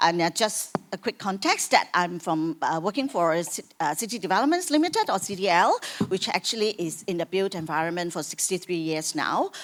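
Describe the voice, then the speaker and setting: At a fairly quick pace and with hardly any pauses, a woman talks at a medium pitch with ordinary pitch variation against noticeable background noise. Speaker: corporate sustainability expert. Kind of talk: panel discussion. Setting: conference stage with audience. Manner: loud.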